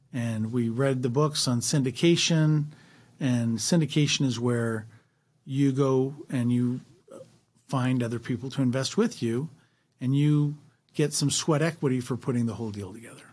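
A man talks at a moderate pace in a normal speaking voice, medium in pitch with ordinary variation. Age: 60s. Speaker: real estate investor. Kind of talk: interview.

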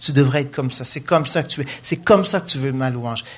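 A man speaks in a Quebec accent. His voice is somewhat breathy, with ordinary pitch variation. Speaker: worship leader and musician. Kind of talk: panel discussion. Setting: stage with audience.

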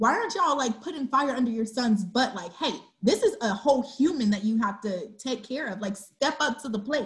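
This woman's voice is high-pitched, with lively intonation. She talks at a fairly quick pace. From Texas, Dallas. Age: 20s. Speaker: single moms community founder. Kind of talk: casual chat.

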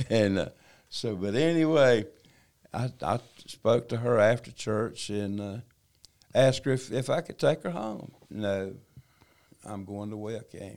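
A man with a North Carolina accent speaks at a fairly slow pace and a medium pitch. He leaves long pauses often. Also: ordinary pitch variation, big swings in loudness. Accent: Southern US, North Carolina. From North Carolina, China Grove. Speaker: church member sharing testimony. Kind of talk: testimony. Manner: halting.

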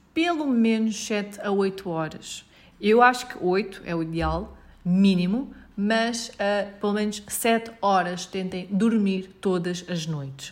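A woman speaks at a very slow pace with a European Portuguese accent. Her pitch sits in the medium range, with ordinary variation. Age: 30s. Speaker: podcast host. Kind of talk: casual advice talk.

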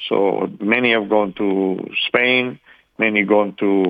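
Very slow in pace, a man speaks at a fairly low pitch with ordinary pitch variation. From Venezuela. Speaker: journalist and political analyst. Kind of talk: interview.

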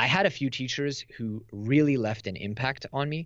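A man with an American accent talks in an unremarkable speaking voice with ordinary pitch variation. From Silicon Valley, California. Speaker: author and entrepreneur. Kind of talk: casual interview chat.

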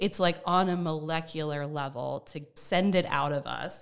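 Fairly even intonation in an American accent. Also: woman. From New Jersey. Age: 40s. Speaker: poet and writer. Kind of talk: casual interview. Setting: in-person recording.

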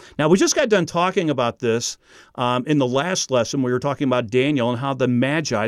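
The recording is very clean, its background silent. A man talks at a moderate pace. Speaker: Bible teacher and podcast host. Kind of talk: teaching lecture on Bible prophecy. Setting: recorded standing up. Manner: animated, not monotone, varied voice; excitable, enthusiastic.

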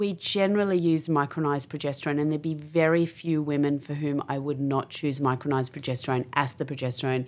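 In an Australian accent, a woman with a very deep, low pitch talks at a very fast pace with hardly any pauses and fairly even intonation, on a very clean recording with a silent background. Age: 50s. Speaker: general practitioner. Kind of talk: interview.

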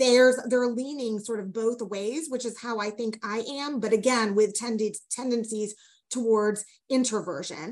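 In a normal speaking voice, a woman talks at a moderate pace, her fairly high pitch following a fairly even intonation. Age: 40s. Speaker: diversity and inclusion strategist, lawyer. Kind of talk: interview conversation.

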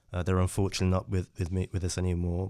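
In a West Midlands accent, a man talks with a very deep, low pitch on a very clean recording with a silent background. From England, West Midlands (Dudley). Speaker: photographer and educator. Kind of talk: interview. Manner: halting.

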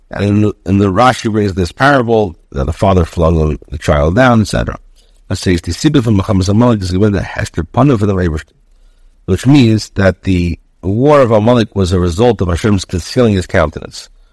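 In an ordinary speaking voice, a man talks at a fairly quick pace with a fairly low pitch and lively intonation. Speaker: Torah teacher. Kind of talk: lecture.

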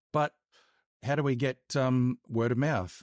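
A man with an Australian accent speaks at a fairly slow pace and medium pitch. His pitch varies normally, and the sound is dry and close with no echo. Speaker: marketing expert, author. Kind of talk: casual interview. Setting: video call.

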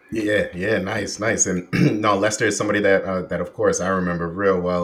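A man speaks at a fairly quick pace with an American accent, his pitch very deep and low. Noticeable background noise runs under his voice. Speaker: podcast host. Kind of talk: casual interview chat.

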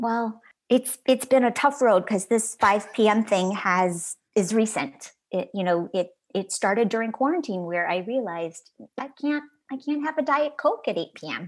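In an American accent, a woman with a fairly high pitch and an ordinary speaking voice talks at a moderate pace with lively intonation. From US Midwest, Chicago suburbs. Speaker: actress. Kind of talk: casual chat. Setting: video call.

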